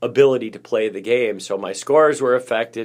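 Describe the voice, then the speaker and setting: In a very clean recording with a silent background, a man talks at a moderate pace in an unremarkable speaking voice of medium pitch. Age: 50s. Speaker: podcast co-host sharing recovery story. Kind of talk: casual chat. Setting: public library.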